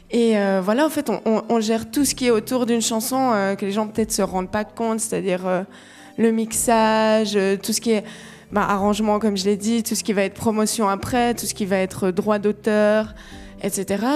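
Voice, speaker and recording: Over music in the background, a woman talks at a fairly high pitch with fairly even intonation. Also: moderate pace. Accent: Vaud. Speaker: singer-songwriter. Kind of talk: radio interview. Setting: live radio broadcast from a venue. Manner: hesitant, many fillers.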